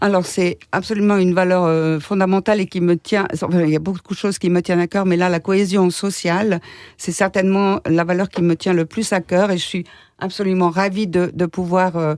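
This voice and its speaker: Recorded very cleanly against a silent background, the dry, close voice has no echo, very even loudness, a monotone, flat intonation and a moderate pace. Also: woman, medium pitch for a woman. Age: 60s. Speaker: political candidate, local councillor. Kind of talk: radio interview. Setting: radio studio.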